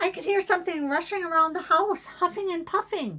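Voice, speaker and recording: A squeaky, put-on character voice from a woman, extremely high in pitch, with an anxious tone, ordinary pitch variation, big swings in loudness, and a fairly quick pace. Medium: read story. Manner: anxious, pleading.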